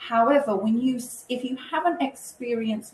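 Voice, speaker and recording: A woman with a British accent, amid noticeable background noise. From UK. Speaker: cruise line representative. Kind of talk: webinar presentation. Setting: online webinar.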